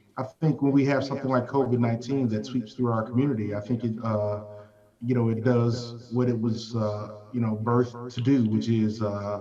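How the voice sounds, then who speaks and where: Amid noticeable background noise and audible room echo, a man with a Southern US accent speaks at a moderate pace and medium pitch, his intonation flat and monotone. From US South. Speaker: healthcare leader. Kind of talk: panel discussion.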